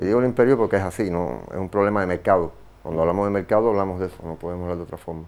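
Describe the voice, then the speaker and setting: A man with a very deep, low voice talks at a very fast pace. His loudness swings widely. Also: ordinary pitch variation. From Cuba. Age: 50s. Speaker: visual artist; guest. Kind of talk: interview; interview answer. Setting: studio. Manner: halting. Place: studio. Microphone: lapel.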